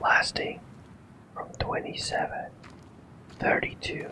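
Whispering at a very slow pace in a calm, soothing tone, with noticeable background noise. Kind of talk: ASMR lore reading, narration of game history. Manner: whispered, calm, soothing.

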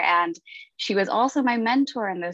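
The speech moves at a moderate pace. Behind it, the background stays quiet. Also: woman, dry sound with no echo. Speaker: university student, event planner. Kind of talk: panel discussion. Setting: video call. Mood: warm, appreciative. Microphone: earbuds.

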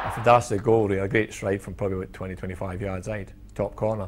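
This man talks at a fairly quick pace with a Scottish accent, his pitch fairly low and his intonation fairly even. His voice carries vocal fry, and light background noise sits behind it. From Scotland. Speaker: former footballer; interviewee. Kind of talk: reminiscing interview. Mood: fond, smiling reminiscence. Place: studio.

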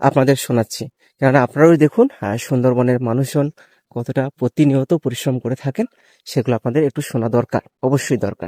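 A man's dark, mellow tone carries ordinary pitch variation in a dry, close sound with no echo, on a very clean recording with a silent background. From Sundarbans, West Bengal. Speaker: travel vlogger. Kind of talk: vlog narration. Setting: outdoors.

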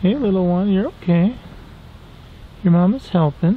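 At a fairly slow pace, a man talks with a high pitch. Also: ordinary pitch variation.

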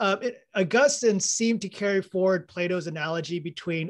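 The pitch of a man's speech varies in an ordinary way as he keeps a moderate pace, the background quiet. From Texas. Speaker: audience member asking a question. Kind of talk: Q&A question. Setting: video call. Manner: casual, hesitant. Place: home room. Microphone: video call.

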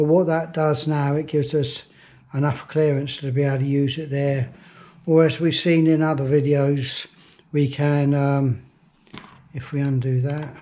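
The voice has a dark, mellow tone, a monotone, flat intonation and long, frequent pauses. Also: man, moderate pace. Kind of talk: tutorial. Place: workshop.

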